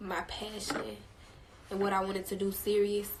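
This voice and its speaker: Noticeable background noise sits behind a woman speaking at a moderate pace with a medium pitch. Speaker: singer. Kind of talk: casual chat. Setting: Instagram livestream.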